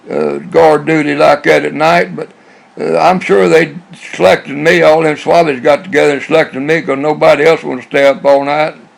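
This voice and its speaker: Noticeable background noise sits under the speech. The pace is fairly quick. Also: man. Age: 80s+. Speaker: navy veteran telling life stories. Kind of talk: personal reminiscence monologue. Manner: rambling, halting with repetitions.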